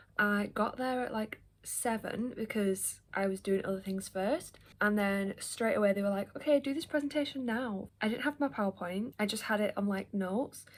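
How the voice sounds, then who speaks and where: With an English accent, a woman speaks at a moderate pace, her fairly high pitch showing ordinary variation. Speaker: book vlogger. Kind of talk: casual vlog talk. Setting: at home. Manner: chatty, filler-heavy.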